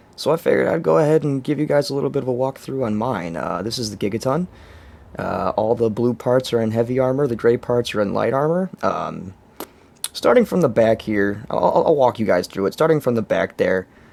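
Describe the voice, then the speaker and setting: Lively intonation carries a fairly quick pace over noticeable background noise. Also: man, medium pitch for a man. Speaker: gaming video creator. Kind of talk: game tutorial walkthrough. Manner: halting, many fillers.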